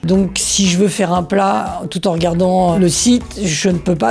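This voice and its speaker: A man talks in a high voice. Background music runs underneath. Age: 60s. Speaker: tennis instructor retraining as cook. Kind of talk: testimonial interview.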